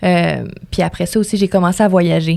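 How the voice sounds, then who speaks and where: A woman talks at a fairly quick pace. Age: 20s. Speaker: radio host and music promoter. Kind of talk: podcast interview.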